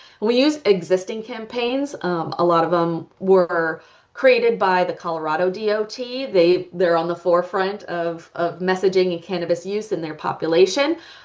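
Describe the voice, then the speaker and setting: A woman's unremarkable speaking voice, medium in pitch, at a moderate pace with hardly any pauses and ordinary pitch variation. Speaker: public health researcher. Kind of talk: conference presentation. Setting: conference talk with audience.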